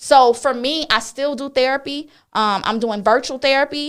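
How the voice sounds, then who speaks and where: A loud, high-pitched woman's voice with ordinary pitch variation, on a very clean recording with a silent background. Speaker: talk show host. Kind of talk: casual chat.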